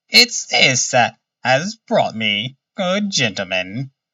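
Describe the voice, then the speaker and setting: A put-on character voice at a low-to-middle pitch moves at a very slow pace. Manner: polite, deferential.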